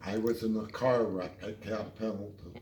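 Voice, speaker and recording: The speaker is a man. His pitch sits fairly low. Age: 80s+. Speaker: war veteran. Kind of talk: storytelling interview answer.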